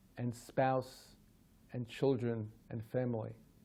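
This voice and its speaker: With an American accent, a man speaks at medium pitch in a dark, mellow tone and monotone, flat intonation. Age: 60s. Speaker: professor. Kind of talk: direct-to-camera talk.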